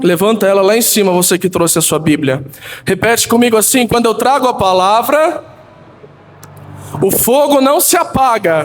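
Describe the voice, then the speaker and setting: Amid noticeable background noise, a man with a high pitch talks at a moderate pace with very wide pitch swings, very even loudness, and long, frequent pauses. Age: 20s. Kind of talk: sermon. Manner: animated.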